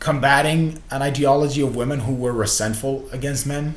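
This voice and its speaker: Audible room echo follows a man talking at a moderate pace in a medium pitch. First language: Spanish. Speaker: vlogger. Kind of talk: casual vlog monologue.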